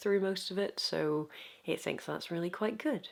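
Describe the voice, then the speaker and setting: A woman is speaking. Her pace is fairly slow. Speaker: YouTube video essayist. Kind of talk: video essay talk to camera. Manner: soft-spoken.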